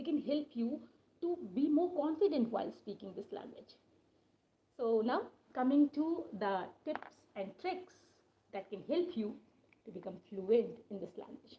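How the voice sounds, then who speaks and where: The speaker, in an Indian accent, talks at a fairly slow pace with long, frequent pauses, very wide pitch swings and big swings in loudness. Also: woman, high pitch for a woman. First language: Hindi. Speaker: English teacher. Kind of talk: live-stream lesson. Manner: hesitant, with fillers.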